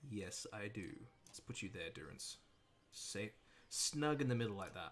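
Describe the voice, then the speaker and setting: A man with an American accent speaks at a moderate pace, his fairly low voice carrying lively intonation. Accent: mild Australian, half American. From Australia. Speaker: gaming streamer. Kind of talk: casual livestream commentary.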